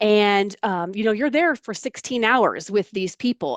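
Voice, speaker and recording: Here is a woman with an American accent, speaking at medium pitch with ordinary pitch variation in an ordinary speaking voice. The sound is dry and close with no echo, and the background is quiet. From US South, Florida (Largo, Pinellas County). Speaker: environmental outreach assistant. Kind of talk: interview, personal story. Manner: conversational, with many fillers.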